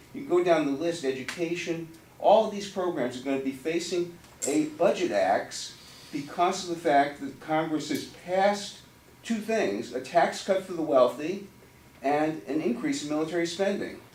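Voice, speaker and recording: Noticeable background noise and audible room echo surround the speaker. He is a man with a high voice and an American accent. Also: lively intonation, moderate pace. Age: 60s. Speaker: constituent at town hall meeting. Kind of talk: public comment at town hall. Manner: impassioned, worked up.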